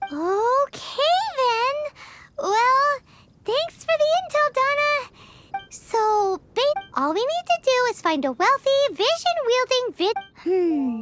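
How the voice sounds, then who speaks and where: In a put-on character voice, the speaker squeaks along at an extremely high pitch and a fairly slow pace. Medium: fan dub. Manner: eager, chatty.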